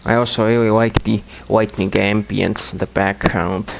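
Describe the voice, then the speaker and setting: In a non-native accent, the speaker talks at a moderate pace with ordinary pitch variation over noticeable background noise. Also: man. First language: not English. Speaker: gaming commentator. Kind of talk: gameplay commentary. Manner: halting.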